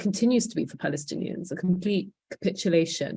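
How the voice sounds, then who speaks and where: A somewhat breathy woman talks at a fairly quick pace. Her pitch varies in an ordinary way. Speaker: panel speaker. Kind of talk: panel talk.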